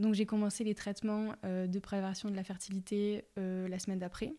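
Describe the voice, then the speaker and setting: A woman speaks in a monotone, flat way at a medium pitch with a dark, mellow tone. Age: 20s. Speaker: patient advocate and platform founder. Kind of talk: testimony. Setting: at home. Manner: halting.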